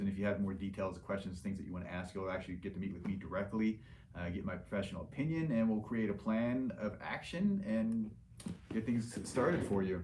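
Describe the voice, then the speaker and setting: A man with a fairly low pitch and a dark, mellow, somewhat breathy tone talks at a fairly quick pace with ordinary pitch variation. Audible room echo surrounds his voice. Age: 40s. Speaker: liposuction surgeon hosting live Q&A. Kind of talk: livestream Q&A. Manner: casual, filler-heavy.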